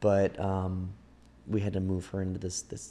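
Here a man speaks at a moderate pace. His tone is dark and mellow. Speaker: podcast host. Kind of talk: casual chat.

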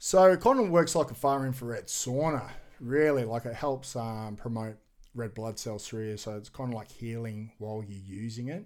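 In an Australian accent, a man talks at a moderate pace on a very clean recording with a silent background. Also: medium pitch for a man, ordinary pitch variation. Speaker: adventure athlete and author. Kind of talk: casual interview chat.

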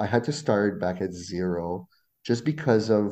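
The voice has a dark, mellow tone with ordinary pitch variation and a fairly slow pace. The background is quiet. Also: man. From Ontario, Canada (Franco-Ontarian, near Ottawa). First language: French. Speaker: Spanish teacher and graduate student. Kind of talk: casual interview.

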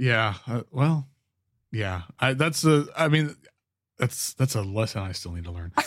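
Speech comes at a fairly slow pace with long, frequent pauses. The intonation is lively. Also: man, medium pitch for a man. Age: 40s. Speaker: podcast host and musician. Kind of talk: casual chat. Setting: video call.

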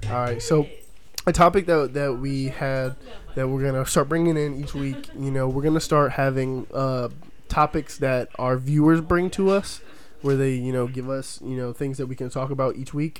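With a plain, everyday voice, a man speaks at a moderate pace in a fairly high pitch and with fairly even intonation. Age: 20s. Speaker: podcast host. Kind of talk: casual chat.

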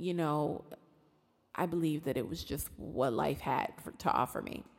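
Here a woman speaks at a fairly low pitch. Her pitch varies in an ordinary way. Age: 40s. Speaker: podcast host. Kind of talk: solo podcast monologue on emotional healing. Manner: hesitant, many filler words.

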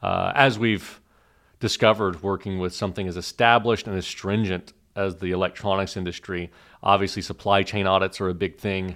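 With an American accent, a man speaks at fairly low pitch and a fairly quick pace in a monotone, flat delivery on a very clean recording with a silent background. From Oklahoma. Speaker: startup founder and CEO. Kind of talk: podcast interview.

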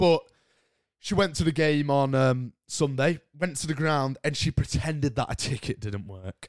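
With a British accent, a man talks, and the very clean recording has a silent background. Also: dry, close sound with no echo. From Britain. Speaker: podcast host. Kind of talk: casual solo chat. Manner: animated.

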